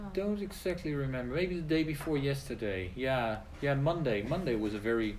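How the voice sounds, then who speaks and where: Speaking with hardly any pauses at a moderate pace, a man with a fairly high voice uses lively intonation, with audible room echo and noticeable background noise. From Netherlands. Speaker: English teacher. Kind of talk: casual chat. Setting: live stream video.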